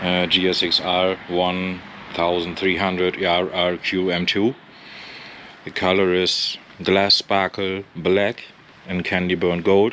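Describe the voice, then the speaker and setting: Speaking at a very slow pace in a non-native accent, the voice has monotone, flat intonation and long, frequent pauses over light background noise. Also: man, very deep, low pitch for a man. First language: not English. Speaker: motorcycle owner. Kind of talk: casual walkaround commentary. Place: street. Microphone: phone near.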